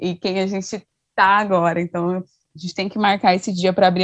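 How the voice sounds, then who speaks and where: Speaking at a fairly quick pace, a woman with a medium-pitched voice has a normal speaking voice, captured dry and close with no echo. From Brazil, Mato Grosso do Sul. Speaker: podcast co-host, international relations researcher. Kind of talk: casual chat.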